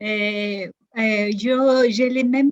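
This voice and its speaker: A woman's somewhat breathy voice with fairly even intonation, in a dry, close sound with no echo. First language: not French (speaking French). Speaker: patient. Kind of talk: testimony. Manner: hesitant.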